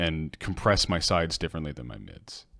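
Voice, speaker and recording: A man at a fairly quick pace with ordinary pitch variation, in a very clean recording with a silent background. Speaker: music producer streamer. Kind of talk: casual livestream tutorial. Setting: livestream. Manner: soft-spoken.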